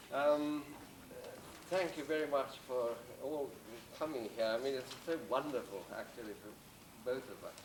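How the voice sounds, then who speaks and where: A man at a fairly slow pace with long, frequent pauses and big swings in loudness, plus noticeable background noise and audible room echo. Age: 80s+. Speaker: retired psychology professor. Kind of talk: speech at a celebration.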